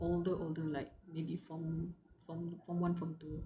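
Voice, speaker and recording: A woman with a Malaysian accent at a fairly slow pace. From Malaysia, Johor. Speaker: livestreamer. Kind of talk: casual chat.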